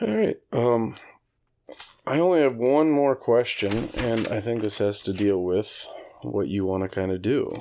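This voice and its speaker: A man's dark, mellow tone with lively intonation. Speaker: podcast host. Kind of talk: casual chat.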